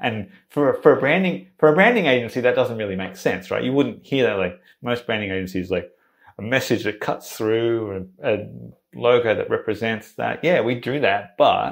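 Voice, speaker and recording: Here a man talks at a moderate pace in an Australian accent. The recording is very clean, with a silent background. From Sydney, Australia. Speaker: branding agency founder. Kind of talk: podcast interview answer. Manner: excited, energetic.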